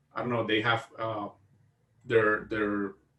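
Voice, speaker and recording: A man speaks at a moderate pace with a Costa Rican accent. Music plays in the background. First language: Spanish. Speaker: video game store owner, podcast co-host. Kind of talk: casual chat. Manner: halting, repeats words.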